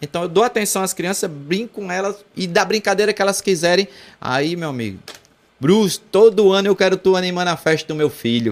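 The voice moves at a fairly quick pace with ordinary pitch variation on a very clean recording with a silent background. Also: man, high pitch for a man. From João Pessoa, Paraíba, Brazil. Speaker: celebrity impersonator entertainer. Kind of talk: casual interview chat. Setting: studio.

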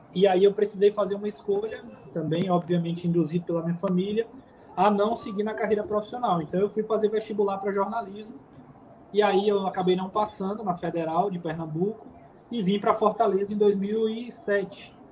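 Noticeable background noise sits behind a man speaking. He talks at a fairly quick pace with a high pitch. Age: 30s. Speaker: football commentator. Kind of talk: casual interview.

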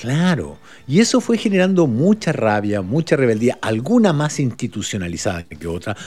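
A man at medium pitch talks at a moderate pace. His voice makes very wide pitch swings. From Uruguay (Montevideo area). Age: 50s. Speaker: podcast guest, social commentator. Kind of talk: casual conversation.

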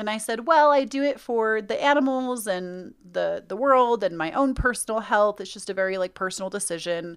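An unremarkable speaking voice from a woman, fairly high in pitch, with lively intonation, a moderate pace and hardly any pauses, over a quiet background. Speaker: podcast co-host. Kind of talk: casual chat.

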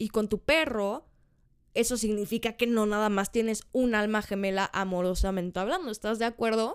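A woman speaks at a moderate pace with a Mexican accent, her pitch fairly high. The recording is very clean with a silent background, and her pitch varies in an ordinary way. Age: 20s. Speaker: podcast host. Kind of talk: casual monologue.

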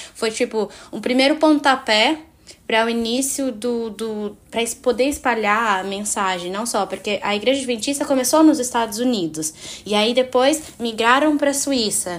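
A woman's fairly high-pitched speech in a plain, everyday voice, moderate in pace and with ordinary pitch variation. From Cape Verde, Fogo island. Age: 20s. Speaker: university student, podcast guest. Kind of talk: casual Bible study discussion.

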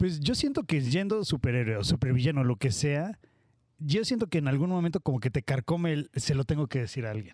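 A man talks in a plain, everyday voice at a fairly high pitch. His lively intonation and fairly quick pace come through a dry, close sound with no echo. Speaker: podcast host. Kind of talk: casual chat.

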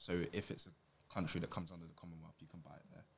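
A man talks with a London accent. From Southeast London, Catford. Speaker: writer. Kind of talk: school presentation.

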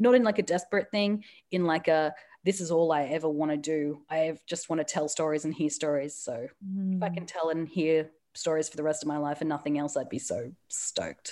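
Speaking at a fairly quick pace with an Australian accent, a woman has a very deep, low pitch and a dark, mellow tone on a very clean recording with a silent background. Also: ordinary pitch variation. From Australia, Newcastle. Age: 30s. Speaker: comedian and author. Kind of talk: casual chat. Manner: animated.

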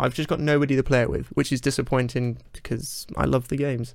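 This man has a British accent and a medium pitch. His intonation stays fairly even. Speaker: podcast host. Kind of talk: casual interview. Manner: self-described mumbler.

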